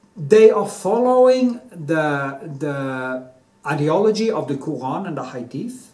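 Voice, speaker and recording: At a fairly slow pace, the voice moves through very wide pitch swings. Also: man. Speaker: artist vlogger. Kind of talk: opinion monologue. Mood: heated, emphatic. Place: home room. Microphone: phone near.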